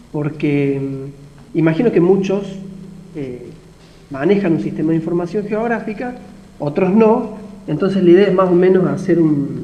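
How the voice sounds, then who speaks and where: Amid noticeable background noise and audible room echo, a man speaks fairly slowly at a high pitch with ordinary pitch variation. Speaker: university lecturer. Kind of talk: lecture. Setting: video call.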